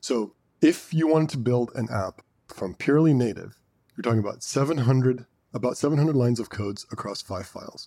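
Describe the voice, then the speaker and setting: A man speaks at a medium pitch with a dark, mellow tone. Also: ordinary pitch variation, fairly quick pace. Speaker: podcast co-host. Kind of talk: casual chat.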